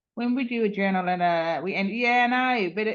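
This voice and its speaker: Speaking at a fairly slow pace, a woman uses an unremarkable speaking voice with a fairly high pitch and ordinary pitch variation. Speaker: user group presenter. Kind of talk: online meeting screen-share demo.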